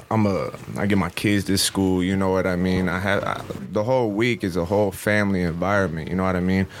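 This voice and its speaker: Over noticeable background noise, a man with a very deep, low pitch speaks very fast in a flat monotone at very even loudness. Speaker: musician. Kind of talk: casual chat. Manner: laid-back.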